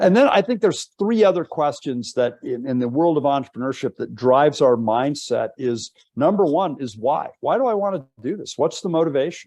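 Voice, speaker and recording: A man speaks with a dark, mellow tone. His intonation is lively and his pace moderate. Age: 60s. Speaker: professor. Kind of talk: webinar lecture. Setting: online webinar. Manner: animated.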